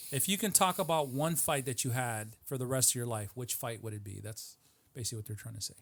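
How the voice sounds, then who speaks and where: On a very clean recording with a silent background, a man speaks at a very fast pace, somewhat breathy, at medium pitch with lively intonation. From Mexican heritage. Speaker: podcast host interviewing MMA fighter. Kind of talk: casual interview chat. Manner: frequent short backchannels.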